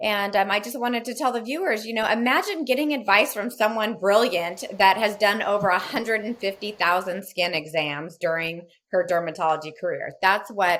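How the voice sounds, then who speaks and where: A woman with an American accent at a moderate pace, medium pitch, and ordinary pitch variation. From California. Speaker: podcast host. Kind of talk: interview.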